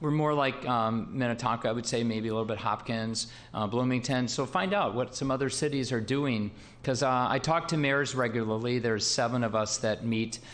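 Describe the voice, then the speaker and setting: A man at a medium pitch with ordinary pitch variation and very even loudness, talking at a fairly quick pace amid audible room echo. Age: 60s. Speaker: city mayor. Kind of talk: council meeting discussion. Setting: council chamber. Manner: halting, many fillers.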